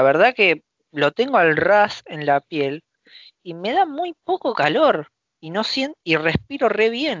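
A man with lively intonation. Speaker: podcast co-host. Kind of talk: casual chat.

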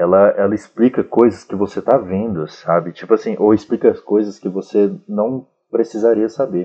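A man with a normal speaking voice, fairly low in pitch, with ordinary pitch variation, a moderate pace and hardly any pauses. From Brazil, Federal District (Sobradinho). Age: 20s. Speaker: fiction writer. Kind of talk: casual chat.

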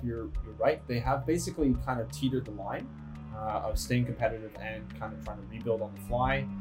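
A man with a Canadian accent speaks at a fairly low pitch and a fairly quick pace, with very wide pitch swings. Music plays in the background. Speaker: podcast co-host. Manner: casual, conversational.

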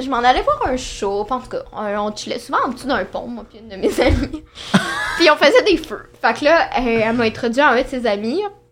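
Over noticeable background noise, a woman speaks at a high pitch and moderate pace with lively intonation and big swings in loudness. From Quebec. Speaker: dating show contestant. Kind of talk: casual chat.

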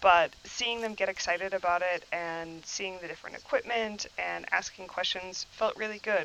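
With an American accent, a woman talks at a medium pitch and moderate pace with fairly even intonation and hardly any pauses, in a plain, everyday voice. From Wisconsin, New Glarus. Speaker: welding and metal fabrication instructor. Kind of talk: casual interview.

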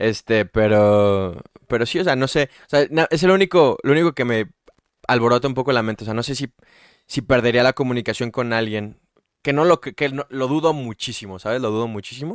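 In a dry, close recording with no echo and a silent background, a man with a Mexican accent speaks at a fairly quick pace, at a medium pitch with ordinary pitch variation. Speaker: podcast host. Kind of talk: casual chat.

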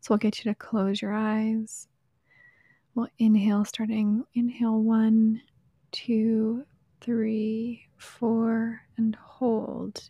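Very slow and monotone with flat intonation, a woman speaks in a somewhat breathy, fairly high voice with a dark, mellow tone. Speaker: podcast host. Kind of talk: casual interview chat.

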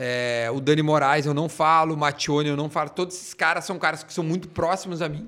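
A normal speaking voice from a man, fairly high in pitch, at a fairly quick pace, on a very clean recording with a silent background. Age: 30s. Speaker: radio and TV personality. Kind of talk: casual chat.

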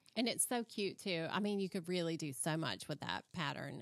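A woman's ordinary speaking voice, fairly low in pitch, at a moderate pace. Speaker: podcast host. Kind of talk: casual interview chat.

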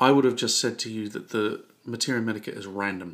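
A man with a normal speaking voice sits at a medium pitch, his pitch variation ordinary. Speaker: podcast host, homeopathy educator. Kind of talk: casual conversational podcast.

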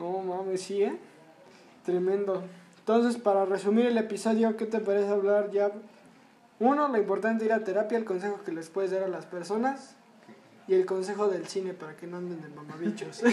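A high male voice at a fairly quick pace, with fairly even intonation, long, frequent pauses and audible room echo. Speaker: podcast host. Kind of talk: casual chat.

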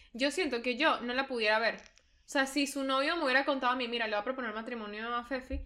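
A woman with a high pitch talks very fast in a raised, projected voice, with hardly any pauses. Noticeable background noise is present. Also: fairly even intonation. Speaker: podcast co-host. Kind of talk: casual chat.

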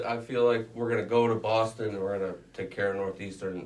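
A fairly quick pace over noticeable background noise. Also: man. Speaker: student sports reporter. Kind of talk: casual sports chat.

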